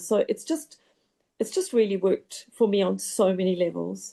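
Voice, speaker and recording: A woman speaks in a normal speaking voice. Her pitch is medium and her pace moderate. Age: 60s. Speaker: program participant, marathon runner. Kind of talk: testimony.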